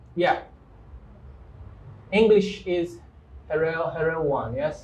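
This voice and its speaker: A man's high-pitched voice at a very slow pace, with ordinary pitch variation and audible room echo. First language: Kikongo. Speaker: English teacher, live show host. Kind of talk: live-stream interview. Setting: studio, live stream.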